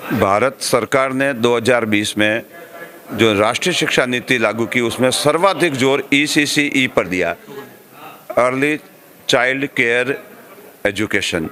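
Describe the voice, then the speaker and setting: A man speaks with very even loudness and long, frequent pauses. Noticeable background noise is present. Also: medium pitch for a man, ordinary pitch variation. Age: 60s. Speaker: education organization official. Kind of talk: interview. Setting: school event.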